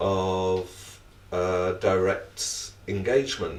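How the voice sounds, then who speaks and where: A man talks with a British accent. Audible room echo surrounds his voice. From Britain. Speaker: academic panelist. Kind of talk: panel discussion.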